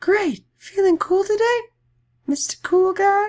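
The put-on character voice is extremely high and squeaky, delivered at a fairly slow pace. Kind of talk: casual, slangy. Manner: laid-back, cool.

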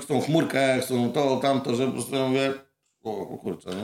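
A man's pitch runs fairly high. He moves along at a fairly quick speed. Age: 40s. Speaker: muralist painter. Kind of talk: casual chat. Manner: halting, many fillers.

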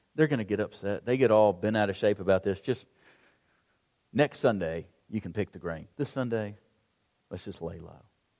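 A man with a fairly low pitch speaks at a moderate pace with ordinary pitch variation, a dark, mellow tone, long and frequent pauses, and big swings in loudness. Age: 40s. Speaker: pastor. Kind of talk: sermon.

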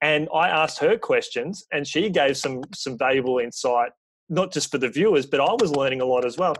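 A man with an Australian accent, a fairly high pitch and ordinary pitch variation, talking at a fairly quick pace over a quiet background. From Australia, rural Victoria. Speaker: sports PR and communications coordinator. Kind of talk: podcast interview.

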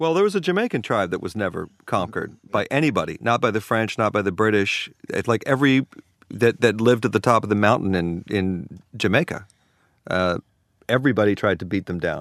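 Against a quiet background, a man with an American accent speaks in a plain, everyday voice, fairly low in pitch and at a fairly quick pace. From New Orleans and Virginia. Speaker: record producer and sound engineer. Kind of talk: casual chat.

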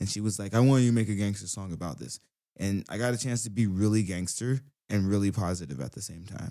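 Very fast speech from a man with an American accent, fairly low in pitch, dark and mellow in tone, with ordinary pitch variation, on a very clean recording with a silent background. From US South, Brunswick, Georgia. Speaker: rapper, musician. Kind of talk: casual chat. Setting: studio.

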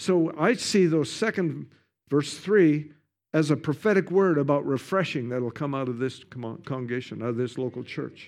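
Lively intonation at a fairly slow pace in a very clean recording with a silent background. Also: man. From Canada. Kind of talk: sermon. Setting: church with congregation.

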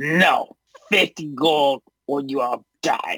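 This is a put-on character voice. It sounds raspy, with a low-to-middle pitch. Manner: demanding, threatening.

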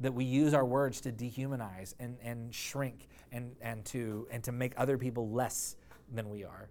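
A man's medium-pitched voice at a moderate pace, monotone and flat in intonation, with audible room echo. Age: 40s. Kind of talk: sermon. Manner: halting.

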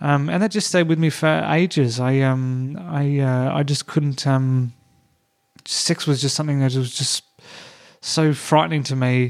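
With an Australian accent, a man talks in a fairly high pitch with ordinary pitch variation. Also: fairly slow pace. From Tasmania, Australia. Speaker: comedian. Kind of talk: casual chat. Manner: hesitant, many fillers.

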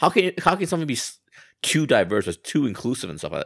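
A man speaks very fast with very wide pitch swings and vocal fry, on a very clean recording with a silent background and a dry, close sound with no echo. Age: 40s. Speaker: podcast co-host. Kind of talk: casual chat.

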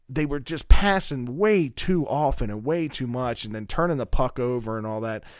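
A man with an unremarkable speaking voice talks at a moderate pace and fairly high pitch. His intonation is lively, on a very clean recording with a silent background. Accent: American. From Maryland, Middle River near Baltimore. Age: 30s. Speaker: sports podcast co-host. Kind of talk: casual chat.

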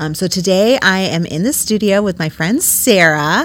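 A woman with a fairly low pitch talks while noticeable background noise carries on behind her. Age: 30s. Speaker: podcast host. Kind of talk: casual chat. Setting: studio.

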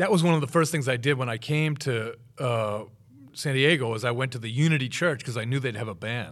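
A man with an American accent talks at a fairly quick pace, his medium pitch moving with ordinary variation. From Massachusetts, Boston area. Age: 50s. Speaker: drummer and drum teacher. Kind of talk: interview. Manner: halting, many fillers.

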